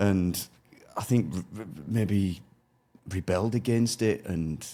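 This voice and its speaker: Over a silent background on a very clean recording, a man with a Yorkshire accent speaks in a dark, mellow tone with ordinary pitch variation. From northern England, near York. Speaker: former soldier turned logistics business owner. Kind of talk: interview. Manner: halting, with self-corrections.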